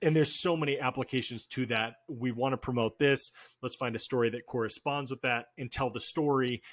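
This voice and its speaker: In a plain, everyday voice, a man speaks at a medium pitch and fairly quick pace with hardly any pauses, the sound dry and close with no echo. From Oregon, US Pacific Northwest. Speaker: podcast host. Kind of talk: casual interview chat.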